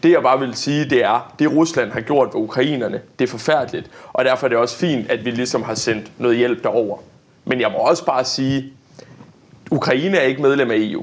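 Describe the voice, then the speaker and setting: The man's medium pitch varies in an ordinary way as he talks at a moderate pace. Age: 20s. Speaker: young politician. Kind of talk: debate. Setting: studio. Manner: hesitant, many fillers.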